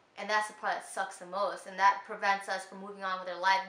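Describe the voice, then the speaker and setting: Very fast and animated, a woman speaks at a medium pitch amid audible room echo and noticeable background noise. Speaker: lifestyle vlogger. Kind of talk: casual advice vlog. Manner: loud.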